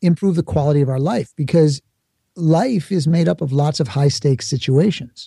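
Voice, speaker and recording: A man with an American accent, fairly high in pitch with ordinary variation, dark and mellow in tone, at a moderate pace, the sound dry and close with no echo. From New York, the Bronx. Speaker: speaker and author, former actor. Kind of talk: interview.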